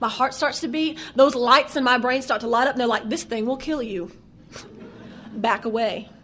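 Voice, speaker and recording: In a strong Southern US accent, a woman with a high pitch speaks in a raised, projected voice at a fairly quick pace with ordinary pitch variation. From US South. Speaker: AA speaker. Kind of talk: recovery testimony. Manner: animated, conversational with fillers.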